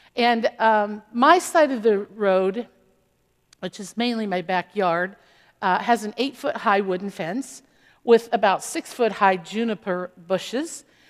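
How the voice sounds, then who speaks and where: On a very clean recording with a silent background, a woman talks at a fairly slow pace with a fairly high pitch, ordinary pitch variation and big swings in loudness. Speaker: pastor. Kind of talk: sermon. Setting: church.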